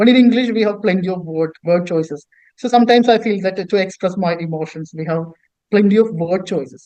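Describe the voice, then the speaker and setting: A man with a Keralan accent talks at a fairly quick pace in a high-pitched, dark, mellow tone with ordinary pitch variation. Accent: Indian English, Malayali. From India, Kerala. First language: Malayalam. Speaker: author and poet. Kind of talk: interview. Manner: halting, many repetitions.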